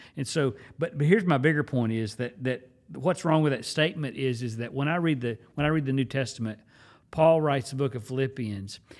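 A man with an American accent has an unremarkable speaking voice, medium in pitch with ordinary pitch variation. He speaks at a fairly quick pace on a very clean recording with a silent background. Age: 50s. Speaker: pastor. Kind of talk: casual chat.

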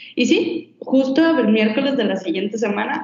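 A woman with a Mexican accent speaks with very wide pitch swings. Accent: Mexican Spanish (Jalisco). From Mexico, Guadalajara. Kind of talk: casual interview, personal storytelling.

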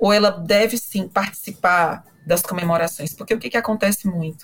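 A woman's voice, somewhat breathy, sits at medium pitch. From Brazil, Fortaleza (Northeast). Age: 40s. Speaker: psychologist and professor. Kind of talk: interview.

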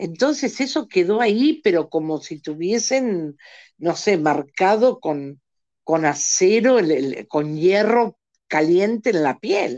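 Against a quiet background, a dark, mellow voice moves at a very slow pace with very wide swings in pitch. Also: woman, medium pitch for a woman. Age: 60s. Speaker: singing teacher and motivational coach. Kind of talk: podcast interview.

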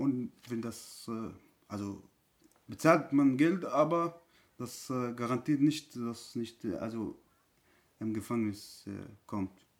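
The speech moves at a very slow pace, broken by long, frequent pauses, with big swings in loudness. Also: man, medium pitch for a man, ordinary pitch variation. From Syria. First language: Arabic (speaking German). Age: 30s. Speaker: refugee. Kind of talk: testimony. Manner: halting.

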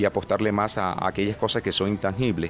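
Music runs in the background. A man speaks at a moderate pace. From Colombian Caribbean (Sierra Nevada de Santa Marta / Valledupar). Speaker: social leader. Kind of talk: research interview. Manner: hesitant, many fillers.

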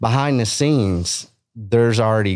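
A man speaks in a West Texas accent with ordinary pitch variation at a moderate pace. The recording is very clean, with a silent background. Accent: West Texan. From Texas Panhandle. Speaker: beef industry advocate. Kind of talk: casual chat. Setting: studio. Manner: animated.

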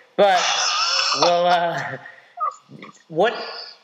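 A man's high-pitched voice with audible room echo. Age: 30s. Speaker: podcast host and CrossFit coach. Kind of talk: interview.

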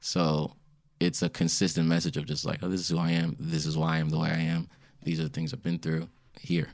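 A man with an American accent and a very deep, low pitch speaks at a fairly quick pace in a relaxed tone with ordinary pitch variation, in a very clean recording with a silent background. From Springfield, Virginia, US. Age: 20s. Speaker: R&B singer. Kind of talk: casual interview. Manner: relaxed, laid-back.

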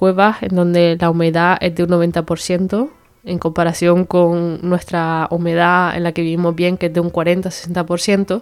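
This woman has a fairly low pitch. Her intonation stays monotone and flat. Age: 20s. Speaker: podcast host, medical resident. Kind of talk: casual educational monologue.

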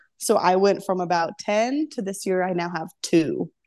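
A woman speaks in a plain, everyday voice at medium pitch with ordinary pitch variation, against a quiet background. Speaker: CrossFit athlete. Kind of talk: casual interview chat.

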